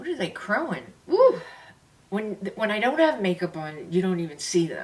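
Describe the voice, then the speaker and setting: A woman with a New York accent talks at a moderate pace, her medium-pitched voice swinging very widely in pitch and sharply in loudness. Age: 70s. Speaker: beauty vlogger. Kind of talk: product review. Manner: animated.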